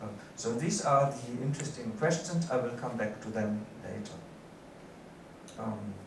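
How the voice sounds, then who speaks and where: Speaking at a moderate pace with long, frequent pauses, a man at a medium pitch uses ordinary pitch variation in a room with audible echo and noticeable background noise. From Germany. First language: German. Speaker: professor. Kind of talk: lecture. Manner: halting, many fillers.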